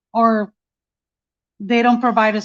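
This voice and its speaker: Recorded dry and close with no echo, the words come at a moderate pace. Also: woman. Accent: Mexican. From Mexico. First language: Spanish. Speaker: mother of police killing victim. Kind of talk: testimony. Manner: halting.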